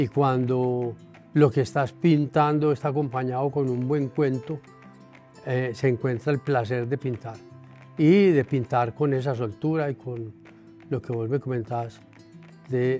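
Speaking in a Colombian accent, a man at medium pitch moves at a fairly slow pace with long, frequent pauses and fairly even intonation while faint music plays in the background. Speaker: painter. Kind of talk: interview answer. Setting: art gallery. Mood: calm, reflective. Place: shop.

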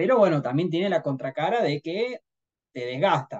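A man with a high pitch speaks at a moderate pace. His intonation is lively, and the background is quiet. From Argentina, Río Cuarto, Córdoba. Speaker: trader, head of trading desk. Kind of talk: interview conversation. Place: home room. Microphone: video call.

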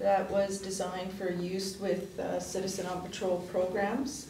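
Over noticeable background noise and audible room echo, a woman speaks at a fairly slow pace with monotone, flat intonation. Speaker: councillor giving committee report. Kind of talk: meeting report. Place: meeting room. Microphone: podium.

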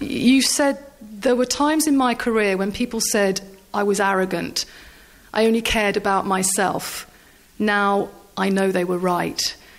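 A woman speaks with a medium pitch in a plain, everyday voice. Her loudness stays very even. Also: ordinary pitch variation, fairly slow pace. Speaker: sports journalist. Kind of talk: interview question.

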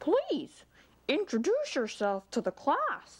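Using a put-on character voice, a woman speaks very slowly at a high pitch with very wide pitch swings. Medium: read story. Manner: prim, exclamatory.

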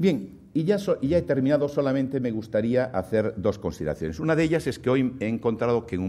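A man speaks with lively intonation. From Spain, Galicia. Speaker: banking association president; guest. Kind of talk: keynote speech. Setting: stage with audience. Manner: halting. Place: hall. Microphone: podium.

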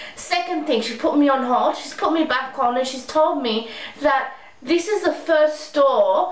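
A woman with an Australian accent speaks at a moderate pace with ordinary pitch variation. Audible room echo surrounds her voice. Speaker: beauty vlogger. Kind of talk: angry rant, frustrated complaint to camera about store changes. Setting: home video blog, speaking to camera. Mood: frustrated, complaining. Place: home room. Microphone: webcam.

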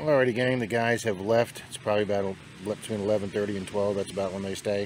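The sound is dry with no echo, under light background noise. Speech moves at a moderate pace. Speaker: metal detectorist vlogger. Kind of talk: casual vlog chat. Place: beach. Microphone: phone near.

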